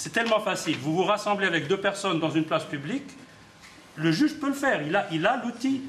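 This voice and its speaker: Through noticeable background noise and audible room echo, a man speaks at a fairly quick pace and a high pitch with very wide pitch swings. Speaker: human rights activist. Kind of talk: press conference. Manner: halting, many repetitions.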